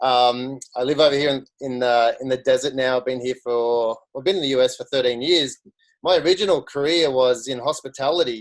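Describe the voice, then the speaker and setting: With an Australian accent, a man speaks at a fairly quick pace. His medium pitch shows ordinary variation. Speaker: social media marketer. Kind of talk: career story talk on a video call.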